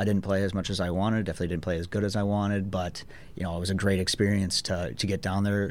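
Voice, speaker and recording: This man has a Minnesota accent. His pitch is fairly low. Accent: Upper Midwest, Minnesota. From Minnesota, International Falls. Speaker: pro hockey player. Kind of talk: casual radio interview. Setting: radio studio.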